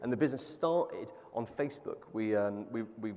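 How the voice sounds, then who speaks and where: A man's medium-pitched voice with a southern English accent. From England. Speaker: plant-based food entrepreneur. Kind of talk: panel interview. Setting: stage with audience.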